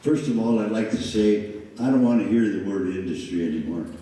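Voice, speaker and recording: A man with an animated tone, audible room echo and noticeable background noise. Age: 70s. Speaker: mayoral candidate, former mayor. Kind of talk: candidate forum answers. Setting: public forum with audience. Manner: animated, folksy.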